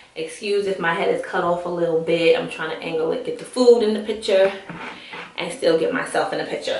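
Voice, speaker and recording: Amid noticeable background noise and audible room echo, a woman with a medium pitch speaks at a fairly quick pace. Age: 30s. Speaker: vlogger. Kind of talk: casual vlog chat while eating. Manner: fast.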